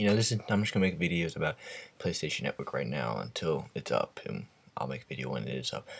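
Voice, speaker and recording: A man's very deep, low voice with vocal fry, a very fast pace and very wide pitch swings. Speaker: gaming news vlogger. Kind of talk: casual vlog commentary. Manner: hesitant, many fillers.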